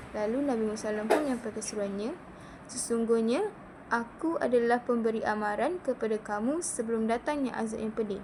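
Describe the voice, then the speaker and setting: Over noticeable background noise, a woman talks at a fairly high pitch for a woman. Her pitch varies in an ordinary way, and her pace is moderate. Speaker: student. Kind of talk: class presentation. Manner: halting.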